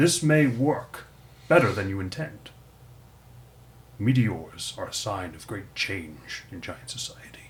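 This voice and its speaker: Using a put-on character voice pitched fairly low, a man speaks at a fairly slow pace with long, frequent pauses. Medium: actual play. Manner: measured, formal.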